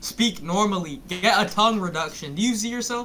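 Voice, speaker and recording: A man speaks in a raised, projected voice, high for a man, with ordinary pitch variation. His pace is fairly quick, with light background noise. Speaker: viewer calling in to a streamer. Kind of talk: casual chat. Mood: teasing, joking. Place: home room.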